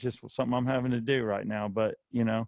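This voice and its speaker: This man has a medium pitch. He talks in a flat, monotone way. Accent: slight Southern US. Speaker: radio host. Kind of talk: casual chat. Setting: home studio in basement.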